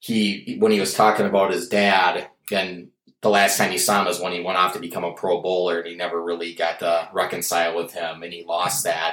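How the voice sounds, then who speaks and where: With a strong Minnesota accent, a man talks at a moderate pace. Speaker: stand-up comedian and bartender. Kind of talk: casual chat.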